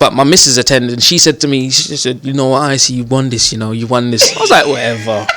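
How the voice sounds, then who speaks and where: A man with a London accent at a medium pitch, over noticeable background noise. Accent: London multicultural English. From Northwest London, England. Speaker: comedian. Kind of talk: casual interview.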